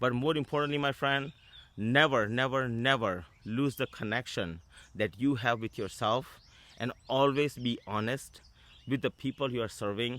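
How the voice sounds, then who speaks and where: A man speaks with an Indian accent at a medium pitch. His pace is moderate and his pitch variation ordinary. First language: Indian language; English is his fourth. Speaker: business coach and author. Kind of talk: casual video talk to camera. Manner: halting, with frequent fillers and restarts.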